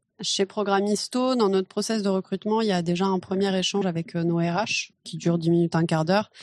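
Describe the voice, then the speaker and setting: Speaking at a fairly quick pace with hardly any pauses, a woman with a medium pitch sounds dry and close with no echo. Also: fairly even intonation. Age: 30s. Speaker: recruiter. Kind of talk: interview. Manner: casual, hesitant fillers.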